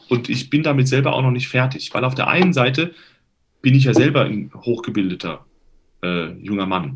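At a moderate pace, the speaker uses lively intonation and noticeable vocal fry. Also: man, medium pitch for a man. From Hesse, Germany (Limburg). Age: 30s. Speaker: tenor and voice professor. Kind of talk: interview. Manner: hesitant with fillers.

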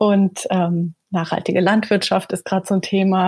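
A woman's somewhat breathy, dark and mellow voice at a medium pitch, moderate in pace and flat in intonation, with a dry, close sound and no echo. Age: 30s. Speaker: surgeon. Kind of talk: interview.

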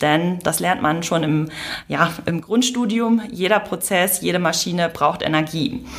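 A woman speaks at a moderate pace with a fairly low pitch. Her pitch varies in an ordinary way over noticeable background noise. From northern Germany, Lower Saxony (Emsland). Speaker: mechanical engineer, energy initiative representative. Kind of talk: interview. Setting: live recording.

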